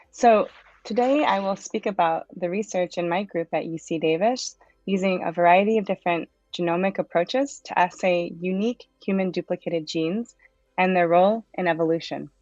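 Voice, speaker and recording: A woman speaks at a fairly quick pace in a medium pitch. Music plays in the background. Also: ordinary pitch variation. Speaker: genomics researcher. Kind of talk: lecture. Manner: fast.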